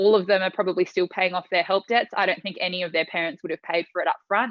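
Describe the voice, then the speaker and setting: Her Australian accent stands out as a woman speaks at a medium pitch with fairly even intonation. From Tonga and Australia. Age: 20s. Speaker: pageant finalist and entrepreneur. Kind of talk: podcast interview.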